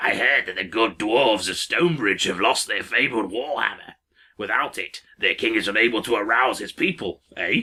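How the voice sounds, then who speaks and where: A man adopts a put-on character voice, pitched in the middle range. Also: moderate pace. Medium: read story. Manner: grumpy, slow.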